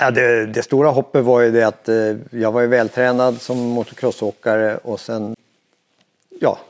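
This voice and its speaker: The man speaks at a medium pitch and moderate pace in a flat monotone. His sound is dry and close, with no echo. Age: 60s. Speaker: veteran mountain biker. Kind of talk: interview. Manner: hesitant, many fillers.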